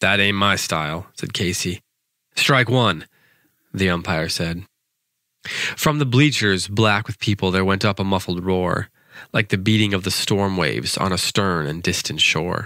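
A man's very deep, low voice, bright and sharp in tone, animated and dramatic, at a fairly slow pace, in a very clean recording with a silent background. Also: ordinary pitch variation. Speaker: poetry podcast host. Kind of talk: poem performed, reading aloud a comic narrative verse. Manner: animated, storytelling delivery with dramatic pacing; casual, chatty and hesitant in the intro.

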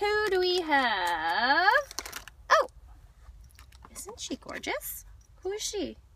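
Very slowly and with long, frequent pauses, a woman speaks in a raised, projected voice with very wide pitch swings and big swings in loudness, the sound dry with no echo over light background noise. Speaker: toy unboxing vlogger. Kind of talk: casual unboxing talk to camera. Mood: cheerful, excited. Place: car. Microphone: phone near.

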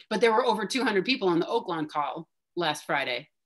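Against a quiet background, a woman talks at a fairly quick pace with a medium pitch. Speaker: neuroscience professor; presenter. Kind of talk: discussion leader on video call. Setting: video call. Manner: animated, frequent 'right?' tags. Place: home room. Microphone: video call.

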